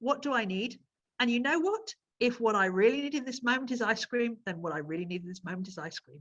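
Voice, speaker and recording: A woman speaks with lively intonation. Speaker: nutritional therapist. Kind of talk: interview. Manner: fast.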